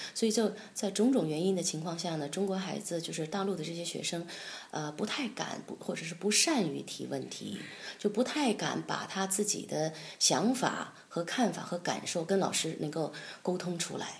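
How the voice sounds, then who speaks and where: Amid audible room echo, a woman speaks at a fairly low pitch with ordinary pitch variation. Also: moderate pace. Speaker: concert pianist and piano professor. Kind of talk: interview. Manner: hesitant, many fillers.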